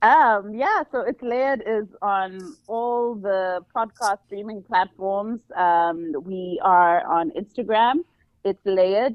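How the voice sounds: Slow and medium in pitch, a woman's voice comes through dry and close, with no echo. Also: ordinary pitch variation.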